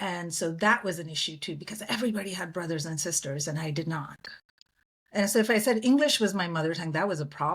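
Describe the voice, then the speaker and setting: A woman speaks at a very fast pace with a fairly low pitch and ordinary pitch variation. Her voice is somewhat breathy. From India. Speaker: public diplomat. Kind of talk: interview conversation.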